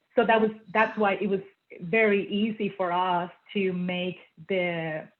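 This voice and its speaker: With a slight Puerto Rican accent, a woman speaks at a fairly slow pace with fairly even intonation. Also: medium pitch for a woman. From Puerto Rico. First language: Spanish. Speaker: feng shui consultant and former engineer. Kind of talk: interview. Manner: hesitant, many fillers.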